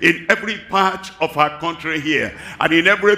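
This man's voice sits high in pitch. It shows ordinary pitch variation. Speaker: preacher. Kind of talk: sermon. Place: stage.

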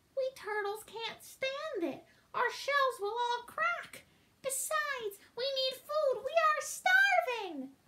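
Using a put-on character voice, a woman speaks at a very slow pace in an extremely high pitch. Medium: read story. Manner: pleading, groaning.

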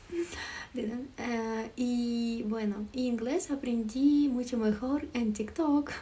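A woman speaks with a Ukrainian accent. Her voice sits high in pitch. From Ukraine. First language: Ukrainian (speaking Spanish). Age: 20s. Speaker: livestreamer. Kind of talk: live stream chat with viewers. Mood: friendly, relaxed. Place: home room. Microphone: phone near.

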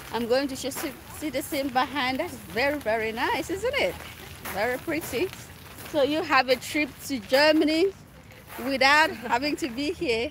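Against noticeable background noise in a dry, echo-free sound, a woman speaks high-pitched at a moderate pace with ordinary pitch variation and long, frequent pauses. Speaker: travel vlogger. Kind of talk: casual vlog chat. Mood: cheerful, playful. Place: open country. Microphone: phone near.

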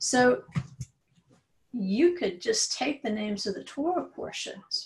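A woman speaks at a very slow pace against a quiet background. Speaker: religious study teacher. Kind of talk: lecture. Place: home room. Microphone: webcam.

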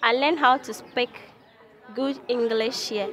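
Over noticeable background noise, a woman with a Ghanaian accent speaks at a fairly high pitch with fairly even intonation, the sound dry and free of echo. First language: not English. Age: young. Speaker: music and dance student. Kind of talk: interview answer. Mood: grateful, cheerful. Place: street.

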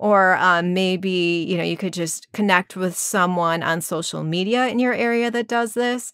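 A woman talks at a moderate pace with hardly any pauses and ordinary pitch variation, heard against a quiet background in a dry sound with no echo. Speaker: voice coach. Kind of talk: tutorial. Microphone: studio mic.

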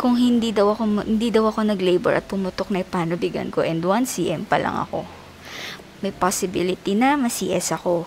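A woman at a fairly quick pace, with ordinary pitch variation and light background noise. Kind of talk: casual vlog chat. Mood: worried before labor. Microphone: phone near.

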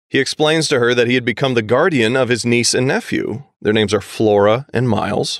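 Talking at a fairly quick pace, a man with a medium pitch keeps a very even loudness and ordinary pitch variation. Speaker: podcast co-host. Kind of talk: casual chat. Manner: animated.

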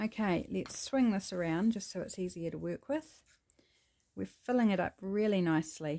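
At a moderate pace, a woman with a New Zealand accent speaks at a medium pitch in a dark, mellow tone with lively intonation. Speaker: craft YouTuber. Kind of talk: crafting tutorial. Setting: home craft studio. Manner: casual and chatty.

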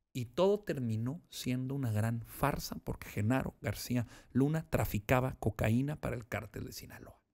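Against a quiet background, a man talks at a moderate pace in a medium pitch with ordinary pitch variation and hardly any pauses. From Mexico. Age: 30s. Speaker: politician. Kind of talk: interview. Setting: studio. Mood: firm, critical. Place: studio. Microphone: studio mic.

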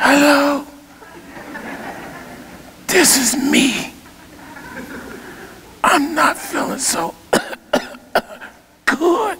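A raspy, put-on character voice speaks at a very slow pace. Light background noise can be heard. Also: man, extremely high pitch for a man. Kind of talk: sermon. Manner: weak, fake-sick.

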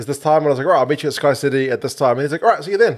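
Speaking with a New Zealand accent, a man talks at a very fast pace with very wide pitch swings against a quiet background. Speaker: sports podcast co-host. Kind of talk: casual chat. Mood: relaxed, joking. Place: studio. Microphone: studio mic.

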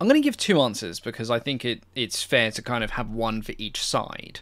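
The background stays quiet while a man talks. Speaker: aviation history channel host. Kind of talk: Q&A commentary.

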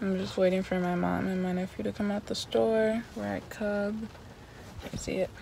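A woman talks with a fairly low pitch and lively intonation. The sound is dry with no echo, with noticeable background noise. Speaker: vlogger. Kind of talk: casual vlog chat. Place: car. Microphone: phone near.

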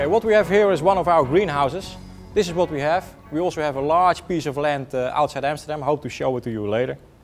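Faint music plays in the background as a man talks at a very fast pace with ordinary pitch variation. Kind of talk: tour guide explanation.

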